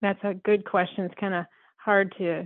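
Using an ordinary speaking voice, a woman with an American accent talks at a medium pitch with fairly even intonation. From Southern Colorado. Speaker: western artist and ranch mother. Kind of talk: casual interview chat.

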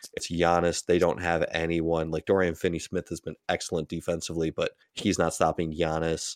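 A man with a very deep, low pitch speaks fairly quickly in a monotone, flat way with hardly any pauses, in a dry, close sound with no echo over a quiet background. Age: 20s. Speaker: basketball podcast host. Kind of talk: casual chat.

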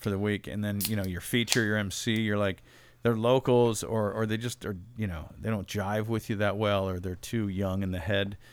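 A man with a plain, everyday voice speaks at a fairly low pitch and a moderate pace, with fairly even intonation. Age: 40s. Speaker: stand-up comedian. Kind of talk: casual chat.

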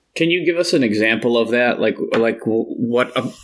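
A man talks at a moderate pace in an ordinary speaking voice of medium pitch. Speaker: podcast host, coach and teacher. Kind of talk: casual interview conversation.

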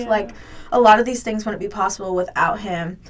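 A woman talks very fast at a fairly high pitch with ordinary pitch variation, with noticeable background noise and audible room echo. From US South, Georgia. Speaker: college student athlete. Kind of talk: casual interview chat.

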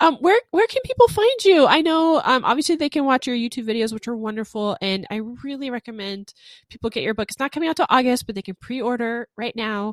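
A high-pitched woman at a very fast pace, in dry, close sound with no echo. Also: lively intonation, big swings in loudness. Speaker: podcast host and author. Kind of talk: interview conversation.

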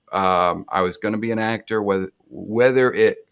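With an American accent, a man speaks in a fairly low pitch using monotone, flat intonation. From Indiana, US Midwest. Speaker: actor and acting teacher. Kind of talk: casual interview chat.

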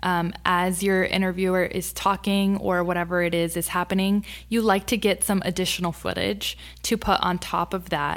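An American-accented woman with a bubbly tone speaks at a moderate pace and medium pitch, her loudness very even, on a very clean recording with a silent background. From Texas, Rio Grande Valley. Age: 20s. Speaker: TV lifestyle segment host. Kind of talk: casual interview. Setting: studio. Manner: bubbly and outgoing.

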